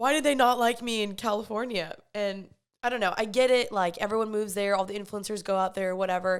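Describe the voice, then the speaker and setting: A woman with a Texan accent at a very fast pace, medium pitch and fairly even intonation, on a very clean recording with a silent background. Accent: Texan American. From Texas, Dallas. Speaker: podcast host. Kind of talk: casual monologue. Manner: casual, conversational.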